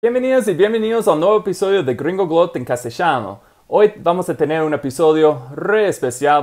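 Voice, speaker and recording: Speaking at a moderate pace with lively intonation and an English accent, this voice comes through on a very clean recording with a silent background. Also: man. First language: English (speaking Spanish). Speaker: language learning channel host. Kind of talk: interview. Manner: halting.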